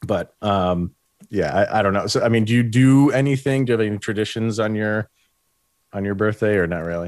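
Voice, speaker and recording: A man with an unremarkable speaking voice talks at a fairly quick pace, fairly low in pitch, with ordinary pitch variation. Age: 30s. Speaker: sports podcast host. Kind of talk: casual chat.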